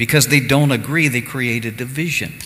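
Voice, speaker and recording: Ordinary pitch movement in a man's speech, with noticeable noise in the background. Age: 60s. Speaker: pastor. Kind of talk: sermon. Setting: church service streamed live.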